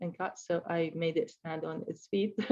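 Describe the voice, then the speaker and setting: A woman with an Arabic accent, a dark, mellow tone, moderate pace and ordinary pitch variation. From Middle East. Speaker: sculptor. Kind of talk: artist presentation of slides. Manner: halting, many fillers.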